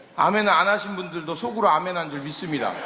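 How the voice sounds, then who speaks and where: The voice is loud and moves at a moderate pace. Noticeable background noise and audible room echo fill the recording. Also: man. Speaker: guest pastor. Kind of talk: sermon. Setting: church with congregation.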